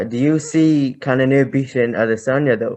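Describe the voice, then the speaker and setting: A man is speaking. He has an Irish accent. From Ireland. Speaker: podcast host. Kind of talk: casual chat.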